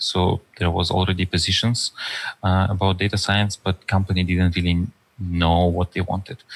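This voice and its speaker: In a Russian accent, a man speaks at a moderate pace with a very deep, low pitch. His intonation is monotone and flat. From far east of Russia. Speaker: data scientist and author; podcast guest. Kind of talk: interview conversation. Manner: halting with many fillers. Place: home room. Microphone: headset.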